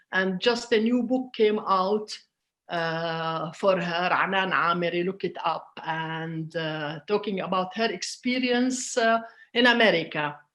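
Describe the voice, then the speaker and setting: Over a quiet background, a woman with an Arabic accent talks at a fairly slow pace with ordinary pitch variation. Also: medium pitch for a woman. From Palestinian, grew up in Jordan. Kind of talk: interview. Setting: online event. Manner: hesitant, many fillers.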